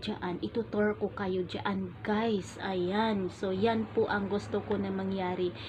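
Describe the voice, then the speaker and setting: A soft-spoken woman at a medium pitch keeps a fairly even intonation while noticeable background noise plays behind her. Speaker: vlogger. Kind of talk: casual vlog talk. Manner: gentle, soft-spoken. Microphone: phone camera.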